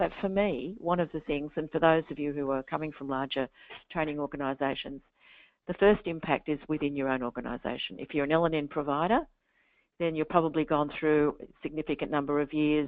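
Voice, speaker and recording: The speaker has an Australian accent and ordinary pitch variation. The pace is fairly quick. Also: woman, very deep, low pitch for a woman. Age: 60s. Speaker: literacy and numeracy educator. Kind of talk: webinar interview. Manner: halting.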